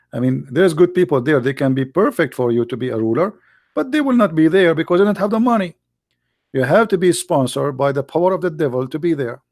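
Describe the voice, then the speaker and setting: Talking at a very fast pace, a man uses lively intonation and an Arabic accent. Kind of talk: live commentary. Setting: live stream. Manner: animated.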